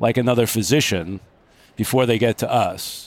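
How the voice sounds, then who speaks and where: The recording is very clean with a silent background and a dry, close sound with no echo, carrying a man's unremarkable speaking voice at medium pitch with fairly even intonation and an American accent. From Long Island, New York. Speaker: orthopedic surgeon. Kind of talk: interview. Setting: live at a conference.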